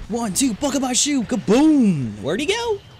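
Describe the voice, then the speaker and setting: With noticeable background noise around him, a man keeps up a fairly quick pace. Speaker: gaming livestreamer. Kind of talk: live gameplay commentary. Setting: livestream. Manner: fast.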